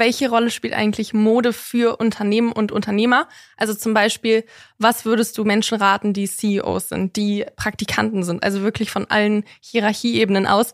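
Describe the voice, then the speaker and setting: A woman talks at a moderate pace with a fairly high pitch and monotone, flat intonation. The sound is dry and close, with no echo. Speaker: podcast host. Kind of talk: casual chat.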